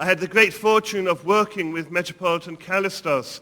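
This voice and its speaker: A man's high, bright, sharp voice in an English accent, at a moderate pace with ordinary pitch variation. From England. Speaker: priest and seminary dean. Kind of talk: lecture. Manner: formal.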